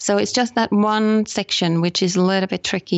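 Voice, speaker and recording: Monotone, flat intonation carries speech at a moderate speed. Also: woman. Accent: Finnish. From Finland. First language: Finnish. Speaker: photography tour operator. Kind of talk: interview. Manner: hesitant, many ums.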